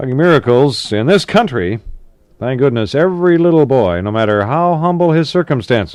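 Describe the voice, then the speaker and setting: A man at a medium pitch speaks with very wide pitch swings. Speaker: radio disc jockey. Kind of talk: 1960s AM radio DJ patter. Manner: upbeat, conversational, quick.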